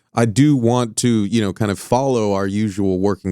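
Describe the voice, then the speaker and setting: A man with an American accent has a fairly low pitch and a dark, mellow tone, captured in a very clean recording with a silent background and a dry, close sound with no echo. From Southern California. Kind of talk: interview. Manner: halting, many fillers.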